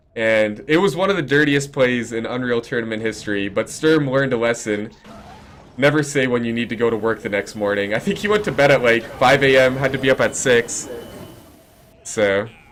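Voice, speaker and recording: The voice moves at a fairly quick pace with ordinary pitch variation over noticeable background noise. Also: man, medium pitch for a man. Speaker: esports caster. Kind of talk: live commentary. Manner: loud.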